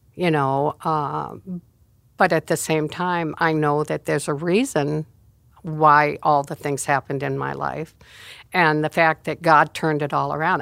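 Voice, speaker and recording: The speech has fairly even intonation and a moderate pace, captured in a very clean recording with a silent background. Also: woman. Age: 80s+. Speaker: church elder, pastor's mother. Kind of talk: testimony. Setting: studio.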